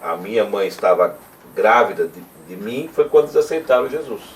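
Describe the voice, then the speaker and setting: A man talks at a moderate pace. Noticeable background noise is audible. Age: 60s. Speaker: interviewer, church member. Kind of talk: oral history interview. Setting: at the guest's home.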